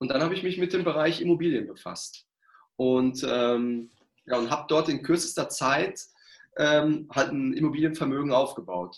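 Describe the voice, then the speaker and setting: Energetic in tone, a man speaks at a moderate pace and fairly high pitch with ordinary pitch variation. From Ruhr area, Germany. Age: 40s. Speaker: sales trainer and coach. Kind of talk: interview.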